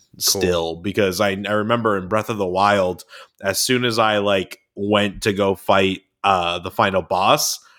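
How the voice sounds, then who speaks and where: A man has an ordinary speaking voice with a fairly low pitch. His intonation stays fairly even. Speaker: podcast co-host. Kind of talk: casual chat.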